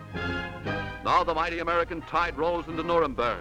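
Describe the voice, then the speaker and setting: Background music runs throughout. The man keeps his delivery at a moderate speed. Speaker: newsreel commentator. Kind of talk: newsreel narration. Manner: dramatic, emphatic.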